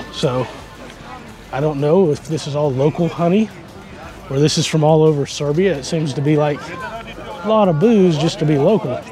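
Faint music plays behind a man who speaks at a fairly quick pace, the sound dry with no echo. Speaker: travel vlogger. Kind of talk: casual vlog chat. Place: market. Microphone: phone near.

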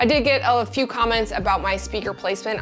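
A woman talks at a very fast pace with fairly even intonation. Faint music plays in the background. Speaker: creator showing her desk setup. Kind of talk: casual vlog tour. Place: office. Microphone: lapel.

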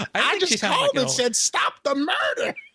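In a put-on character voice pitched extremely high, a man talks at a moderate pace.

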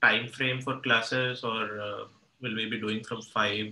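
A man speaks at a fairly slow pace amid light background noise and audible room echo. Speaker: student. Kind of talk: classroom discussion. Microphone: video call.

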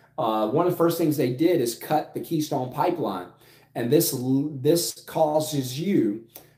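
Audible room echo surrounds a man with a South Louisiana accent who talks at a fairly slow pace and a fairly high pitch, using ordinary pitch variation. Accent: South Louisiana US Southern. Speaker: finance YouTuber and business coach. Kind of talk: casual vlog monologue. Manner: conversational with filler words. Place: home room. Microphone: phone near.

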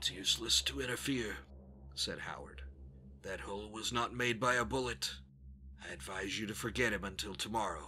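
A man speaks with a bright, sharp tone, fairly low in pitch, with vocal fry and very wide pitch swings. His pace is moderate, broken by long, frequent pauses. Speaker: narrator. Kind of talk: horror story reading.

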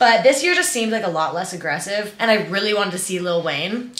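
Her animated tone and fairly high pitch carry through audible room echo as the woman speaks. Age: 20s. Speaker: lifestyle YouTuber. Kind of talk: casual vlog talk to camera. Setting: bedroom at home. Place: home room.

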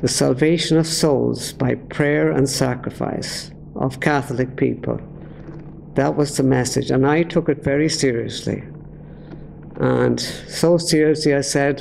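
Over light background noise, a man with a Dublin accent speaks at a fairly slow pace and a very even loudness. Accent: Dublin Irish. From Ireland, Dublin. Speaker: former priest, preacher. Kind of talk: testimony. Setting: speaking to an audience. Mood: earnest, reflective. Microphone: podium.

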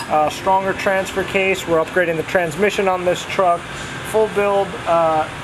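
A man speaks at a moderate pace with monotone, flat intonation. Noticeable background noise runs underneath. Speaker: presenter. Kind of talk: casual vlog chat. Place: workshop.

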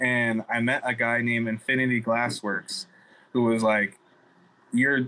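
Speaking at a fairly slow pace, a man uses a medium pitch and a bright, sharp tone. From US Pacific Northwest. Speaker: cannabis grower; podcast guest. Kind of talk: casual interview. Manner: casual, frequent fillers. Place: home room. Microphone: video call.

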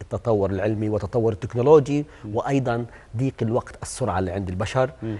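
A man speaks fairly quickly in a medium pitch. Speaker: sports medicine doctor. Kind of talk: TV talk show interview. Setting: TV studio. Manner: animated. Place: studio. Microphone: lapel.

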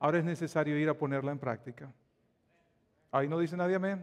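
With a Dominican accent, a man speaks at a fairly high pitch with ordinary pitch variation. The background is quiet. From Dominican Republic. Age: 40s. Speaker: pastor. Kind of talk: sermon. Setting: church. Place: church. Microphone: lapel.

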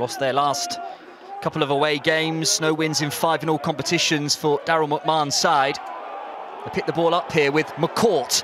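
In a dry recording with no echo but noticeable background noise, a man with a fairly high voice talks at a moderate pace with fairly even intonation. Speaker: match commentator. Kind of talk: live football commentary. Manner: brisk, fluent play-by-play delivery, clipped with rising energy at chances. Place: stadium.

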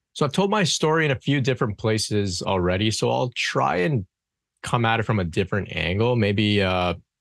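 A man with a fairly low pitch speaks at a moderate pace. The background is quiet. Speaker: podcast guest. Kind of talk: interview answer. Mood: calm, reflective. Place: home room. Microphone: studio mic.

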